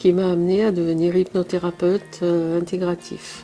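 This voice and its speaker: Fairly slow speech from a woman with a fairly low pitch and ordinary pitch variation. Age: 60s. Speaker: hypnotherapist, program participant. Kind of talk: testimony. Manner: halting.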